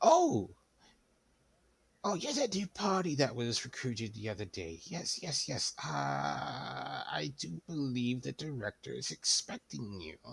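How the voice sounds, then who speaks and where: Using a put-on character voice at medium pitch, a man talks at a moderate pace, with long, frequent pauses. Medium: actual play. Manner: fussy, doting.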